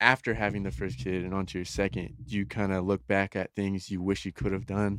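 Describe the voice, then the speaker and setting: Recorded very cleanly with a silent background and a dry, close sound with no echo, a man in a normal speaking voice talks at a fairly quick pace with hardly any pauses and ordinary pitch variation. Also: fairly low pitch for a man. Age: 20s. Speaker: podcast host. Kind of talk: casual interview.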